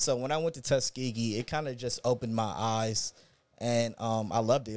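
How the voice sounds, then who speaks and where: The recording is very clean, with a silent background. A man speaks at medium pitch. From Inglewood, Los Angeles. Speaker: restaurant owner. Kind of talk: casual interview.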